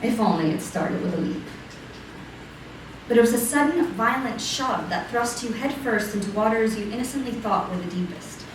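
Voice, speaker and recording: Against noticeable background noise, a woman speaks at a moderate pace with a fairly high pitch and lively intonation. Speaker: slam poet. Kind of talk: slam poetry performance, second-person monologue.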